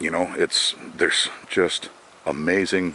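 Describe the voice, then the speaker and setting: There is noticeable background noise as a man speaks in a relaxed tone. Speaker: forager. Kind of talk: casual talk to camera. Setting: outdoors. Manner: relaxed, hesitant.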